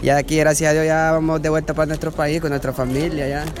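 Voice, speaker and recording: Noticeable background noise sits behind a man's voice. He talks at a fairly high pitch with monotone, flat intonation. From Honduras, El Paraíso. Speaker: migrant. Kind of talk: street interview. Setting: outdoors in a queue.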